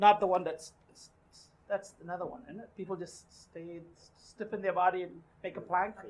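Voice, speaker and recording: A woman speaks with a non-native accent and big swings in loudness. Her speech has long, frequent pauses. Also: medium pitch for a woman, moderate pace. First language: not English. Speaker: meeting facilitator. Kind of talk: casual group discussion. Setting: meeting room with small group, recorded for camera. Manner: animated.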